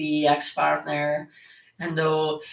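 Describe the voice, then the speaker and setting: A woman with a strong northern Italian accent speaks at a fairly slow pace in a very deep, low pitch, with audible room echo. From northern Italy. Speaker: occult content creator. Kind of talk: livestream Q&A. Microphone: echo in the room.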